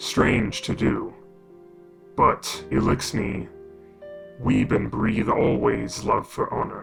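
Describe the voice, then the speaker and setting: Over clear music in the background, a man performs a put-on character voice at a fairly slow pace. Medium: solo performance. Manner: halting broken English, solemn.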